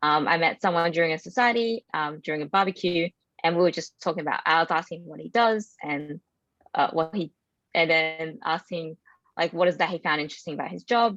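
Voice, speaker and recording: A woman's fairly low voice at a fairly quick pace, with ordinary pitch variation and a dry, close sound with no echo. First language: not English. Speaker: IT professional, former international student. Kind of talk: panel discussion. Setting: webinar.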